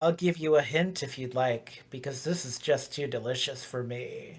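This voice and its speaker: At a moderate pace, a man does a put-on character voice with a fairly high pitch. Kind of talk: menacing, theatrical. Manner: sinister, gloating.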